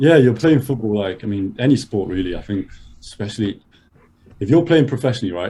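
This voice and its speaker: A man talks at a very fast pace with lively intonation. His tone is dark and mellow, and somewhat breathy. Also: medium pitch for a man. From Madrid, Spain, then London. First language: Spanish. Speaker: podcast guest. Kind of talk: casual chat.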